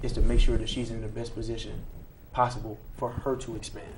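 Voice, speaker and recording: This voice belongs to a man. The room around him gives off audible echo. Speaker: talk show host. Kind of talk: casual discussion.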